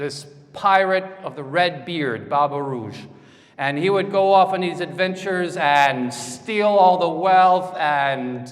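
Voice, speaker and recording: Over noticeable background noise, a man with a high pitch speaks very slowly. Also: ordinary pitch variation. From France. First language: French. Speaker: conference speaker. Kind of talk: lecture. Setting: stage with audience.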